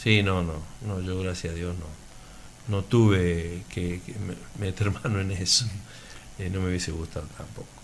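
A man's very deep, low voice at a fairly slow pace with ordinary pitch variation and audible room echo. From Laguna Larga, Córdoba, Argentina. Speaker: athletics coach and local resident. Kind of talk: radio interview.

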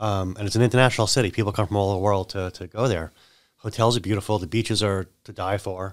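Speaking at a very fast pace, a man with a fairly low pitch keeps his intonation fairly even in a very clean recording with a silent background. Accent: American. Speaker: insurance agent and business owner. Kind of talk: casual chat. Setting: studio.

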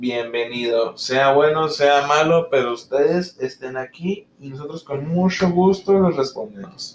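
Fairly high for a man and delivered at a fairly slow pace with hardly any pauses, this is an unremarkable speaking voice with ordinary pitch variation. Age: 20s. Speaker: podcast co-host, dental student. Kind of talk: casual chat.

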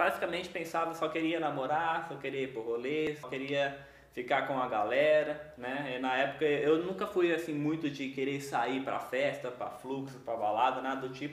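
A man with a fairly high voice speaks at a moderate pace with hardly any pauses and fairly even intonation. Audible room echo and noticeable background noise surround him. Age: 20s. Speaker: young evangelical church minister. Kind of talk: casual chat, personal testimony.

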